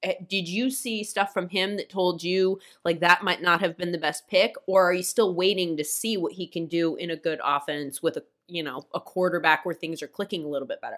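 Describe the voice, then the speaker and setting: A woman speaks in a plain, everyday voice with ordinary pitch variation. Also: fairly low pitch for a woman. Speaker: football podcast host. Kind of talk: interview conversation.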